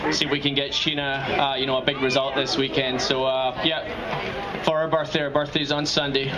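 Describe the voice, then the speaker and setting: The speaker talks at a moderate pace with hardly any pauses, very even loudness and a flat, monotone delivery. Audible room echo and noticeable background noise fill the recording. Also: man, fairly high pitch for a man. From Scotland. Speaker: racing driver. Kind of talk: short speech to a crowd.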